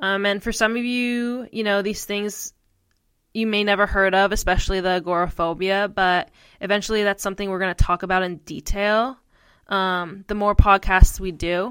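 A woman with an American accent speaks in an unremarkable speaking voice at a medium pitch and moderate pace, her intonation fairly even, on a very clean recording with a silent background. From US Northeast, northeastern Pennsylvania. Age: 20s. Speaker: podcast co-host, mental health advocate. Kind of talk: personal storytelling monologue.

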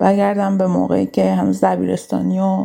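At a fairly quick pace, a woman is talking. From Iran, Kurdistan (Sanandaj). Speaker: dentist. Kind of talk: personal story.

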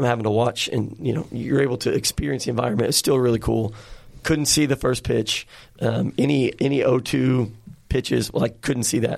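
A man with an American accent and vocal fry, medium in pitch, at a moderate pace with very even loudness. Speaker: podcast host. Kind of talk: casual chat. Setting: studio. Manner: animated.

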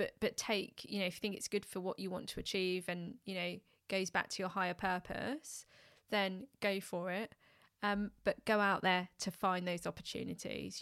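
A woman with a London accent at medium pitch and moderate pace, on a very clean recording with a silent background. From West London, England. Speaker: customer experience expert and public speaking coach. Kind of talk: casual chat.

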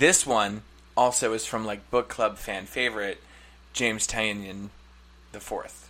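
With long, frequent pauses and big swings in loudness, a man speaks at a fairly slow pace in a fairly low pitch with fairly even intonation. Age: 30s. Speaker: podcast co-host. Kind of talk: casual chat. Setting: studio.

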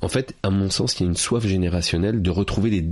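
A man talks with a very deep, low pitch. His pace is moderate and his pitch varies in an ordinary way. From France, Paris suburbs. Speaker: public speaking coach and author. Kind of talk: interview.

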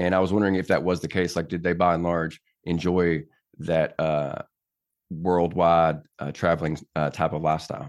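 A very deep, low-pitched man with an American accent and monotone, flat intonation, against a quiet background. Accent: Southern US accent, deliberately reduced. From Tennessee. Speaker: podcast host, army veteran. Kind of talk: casual interview chat.

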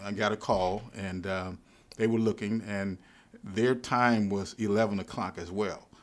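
In a Louisiana accent, a man talks at a fairly slow pace with a fairly low pitch and monotone, flat intonation on a very clean recording with a silent background. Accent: Louisiana Southern US. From US South, Baton Rouge, Louisiana. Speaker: pastor. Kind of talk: interview conversation. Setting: library.

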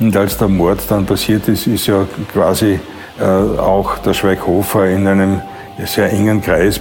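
A man's fairly low voice holds a monotone, flat intonation amid noticeable background noise. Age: 70s. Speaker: former dancer and marketing man. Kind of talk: interview testimony. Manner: halting.

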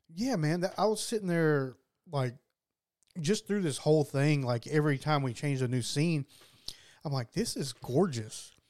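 A man's fairly high voice with lively intonation, a moderate pace and long, frequent pauses. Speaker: podcast co-host. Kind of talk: casual chat. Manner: laid-back, laughs often.

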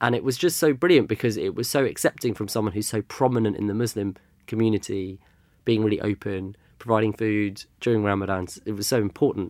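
A very fast-talking man with a London accent, fairly low in pitch with ordinary variation, on a very clean recording with a silent background. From London, England. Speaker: culture consultant. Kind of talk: interview conversation.

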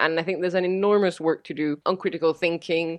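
A woman speaks at a fairly quick pace in a Spanish accent, her fairly low pitch held in a monotone, flat intonation. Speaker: fact-checking organization director. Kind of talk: interview.

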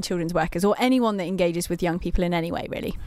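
Ordinary pitch variation runs through this voice in a Mancunian accent. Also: woman. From Manchester, England. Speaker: magazine editor, co-host. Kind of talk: casual chat. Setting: studio.

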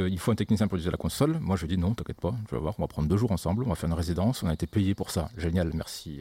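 A man's very deep, low, somewhat breathy voice with a dark, mellow tone, ordinary pitch variation and a very fast pace. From southern France (Occitanie, Montpellier). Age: 30s. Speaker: sound engineer. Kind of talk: casual chat.

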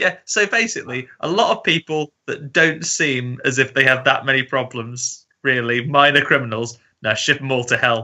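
A man with an unremarkable speaking voice and medium pitch talks at a moderate pace with ordinary pitch variation and hardly any pauses. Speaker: guest film fan. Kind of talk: casual chat.

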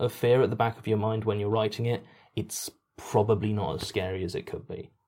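In a British accent, a man talks with a fairly low pitch, a dark, mellow tone and fairly even intonation on a very clean recording with a silent background. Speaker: podcast writer and voice actor. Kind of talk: casual Q&A chat. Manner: deadpan.

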